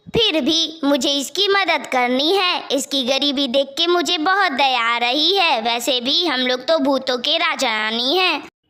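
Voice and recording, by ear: Using a cartoonish character voice, a woman speaks at a moderate pace with a high pitch.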